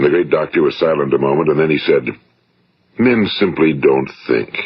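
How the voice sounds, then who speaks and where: This man speaks with an American accent. His pace is fairly quick. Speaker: motivational speaker / radio broadcaster. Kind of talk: motivational speech, vintage spoken-word recording.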